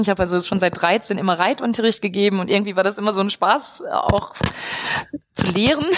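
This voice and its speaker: Over noticeable background noise, a woman speaks at a fairly quick pace with fairly even intonation. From Westphalia, Germany (Lippstadt). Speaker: professor of agricultural business. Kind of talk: interview. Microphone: poor recording quality.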